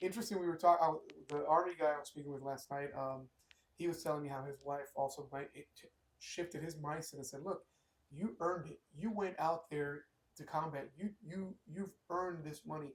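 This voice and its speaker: A man with an unremarkable speaking voice talks fairly quickly at a fairly high pitch. His intonation stays fairly even while his loudness swings widely. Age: 40s. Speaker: podcast host. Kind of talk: casual chat.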